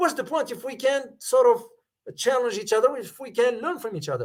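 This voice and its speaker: A man speaks with lively intonation at an extremely high pitch. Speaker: geopolitics commentator and professor. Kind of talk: live stream analysis and Q&A. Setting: live stream. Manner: firm.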